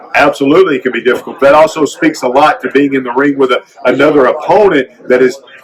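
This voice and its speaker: The talking moves at a fairly quick pace against noticeable background noise. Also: man. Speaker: former pro wrestler and caricature artist. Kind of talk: interview. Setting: convention floor. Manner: animated.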